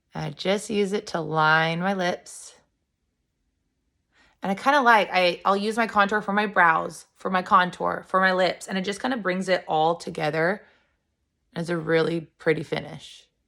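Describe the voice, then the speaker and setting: In a raspy, put-on character voice, a woman speaks at a medium pitch and a moderate pace. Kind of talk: casual tutorial.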